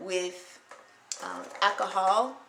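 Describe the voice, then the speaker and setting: Her voice at a medium pitch, a woman is heard with audible room echo. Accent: American. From Ohio, US Midwest. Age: 30s. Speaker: beauty vlogger. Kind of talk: tutorial. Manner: hesitant, frequent filler words.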